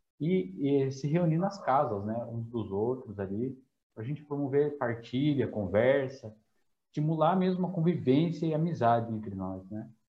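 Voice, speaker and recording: At a moderate pace, a man talks in a medium pitch, somewhat breathy, with ordinary pitch variation. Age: 20s. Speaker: church community group leader. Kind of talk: casual faith conversation.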